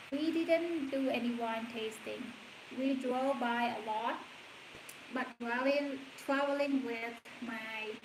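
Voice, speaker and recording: Audible room echo surrounds a woman with a Cambodian accent. Her pitch is high and her intonation fairly even. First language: Khmer. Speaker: stay-at-home mom vlogger. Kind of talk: casual livestream chat. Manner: halting.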